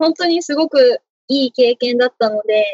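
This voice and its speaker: A high-pitched female voice with ordinary pitch variation. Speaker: university student. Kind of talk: interview.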